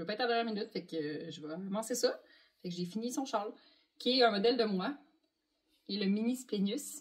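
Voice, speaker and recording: With a fairly high pitch and lively intonation, a woman talks at a very fast pace in a somewhat breathy voice, leaving long, frequent pauses. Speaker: knitting designer and podcast host. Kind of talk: casual chat.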